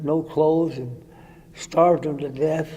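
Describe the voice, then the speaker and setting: A man with a fairly high pitch and a dark, mellow tone speaks at a fairly slow pace in a monotone, flat intonation. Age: 80s+. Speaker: war veteran. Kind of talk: interview answer. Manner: halting, hesitant.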